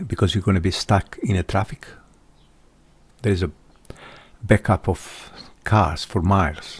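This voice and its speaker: At a fairly slow pace, a man with a non-native accent speaks in a very deep, low, somewhat breathy voice with ordinary pitch variation, in a dry, close sound with no echo. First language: not English. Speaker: vlogger. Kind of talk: personal monologue. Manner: halting.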